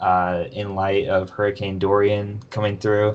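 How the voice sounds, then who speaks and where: This man has a normal speaking voice, a fairly low pitch, fairly even intonation and a fairly slow pace. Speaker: podcast host. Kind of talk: casual chat.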